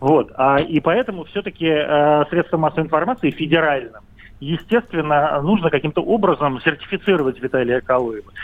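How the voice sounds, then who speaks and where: This man has an unremarkable speaking voice, fairly high-pitched, moving at a fairly quick pace with lively intonation and very even loudness. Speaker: caller, commentator. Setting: phone call.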